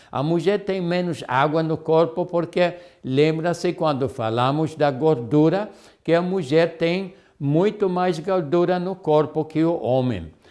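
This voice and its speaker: A fairly high-pitched man speaks at a very slow pace. His pitch varies in an ordinary way. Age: 70s. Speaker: health lecturer. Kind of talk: lecture. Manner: halting.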